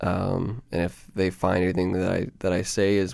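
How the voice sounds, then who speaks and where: In a very clean recording with a silent background, a man with a very deep, low voice speaks with a Canadian accent. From Canada, Ontario (Peterborough). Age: 20s. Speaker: podcast host, musician. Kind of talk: solo personal monologue. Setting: home recording in bedroom. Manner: hesitant, many fillers.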